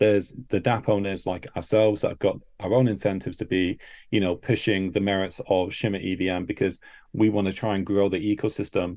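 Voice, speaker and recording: A man's fairly low-pitched, fairly quick speech with fairly even intonation, a normal speaking voice. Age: 30s. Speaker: crypto project founder. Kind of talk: casual chat.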